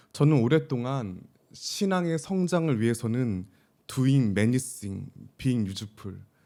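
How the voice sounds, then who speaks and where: Speaking at a very slow pace, a man has a medium pitch, a dark, mellow tone, and lively intonation. The recording is very clean, with a silent background. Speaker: pastor. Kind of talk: sermon.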